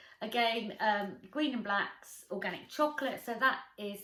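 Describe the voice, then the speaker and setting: Bright, sharp tone with lively intonation in an English accent. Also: woman. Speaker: lifestyle vlogger. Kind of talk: casual chat.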